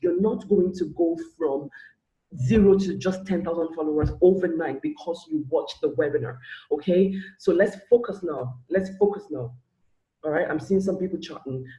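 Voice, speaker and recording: A man's high-pitched voice carries a dark, mellow tone with ordinary pitch variation. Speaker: social media business coach. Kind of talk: live webinar. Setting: live online webinar. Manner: fast.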